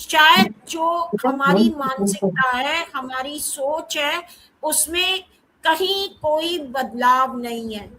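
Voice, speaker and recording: A woman's raised, projected voice sits high in pitch with lively intonation. Her loudness swings widely. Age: 60s. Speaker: professor. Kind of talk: panel discussion talk.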